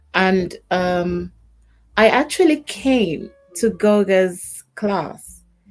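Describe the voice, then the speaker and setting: A woman speaks at a very slow pace with lively intonation, music playing in the background. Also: medium pitch for a woman. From Jamaica. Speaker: YouTube creator. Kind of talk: casual chat. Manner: soft-spoken; calm.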